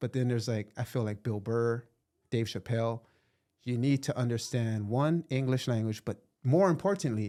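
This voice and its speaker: A man speaks at a moderate pace in a dark, mellow tone. The recording is very clean, with a silent background. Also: medium pitch for a man, ordinary pitch variation. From Hawaii. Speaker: podcast host. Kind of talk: casual conversation.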